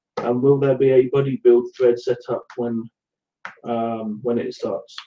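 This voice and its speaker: A man's medium-pitched voice in a Somerset accent, fairly slow, with monotone, flat intonation. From England, Somerset. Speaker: scale modelling live show co-host. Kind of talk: casual live show chat reading viewer comments. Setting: live video hangout.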